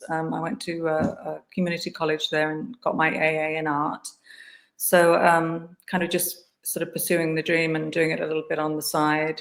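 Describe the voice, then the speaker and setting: A woman's fairly low voice in an English accent, monotone and flat, at a moderate pace. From England, Guildford near London. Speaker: artist. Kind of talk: interview. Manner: hesitant, many fillers.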